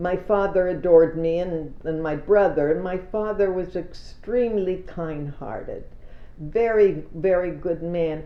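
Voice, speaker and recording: With audible room echo, a woman talks at a fairly slow pace in a fairly low pitch, using ordinary pitch variation. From Israel (emigrated from Canada at about age 5). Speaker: elderly interviewee telling her life story. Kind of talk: oral history testimony. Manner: halting.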